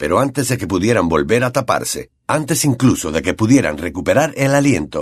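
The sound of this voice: Lively intonation in an unforced reading voice, with a quiet background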